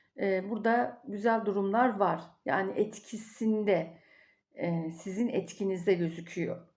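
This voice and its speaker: A woman talks at a very slow pace, and her pitch varies in an ordinary way. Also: medium pitch for a woman, quiet background. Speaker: tarot and coffee fortune reader. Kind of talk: fortune reading monologue. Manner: rambling, filled with hesitations.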